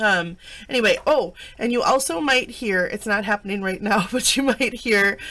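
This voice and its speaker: Her tone is bright and sharp. The woman's pitch is medium, with ordinary pitch variation. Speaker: craft journal maker and seller. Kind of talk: casual product flip-through. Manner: casual, filler-heavy.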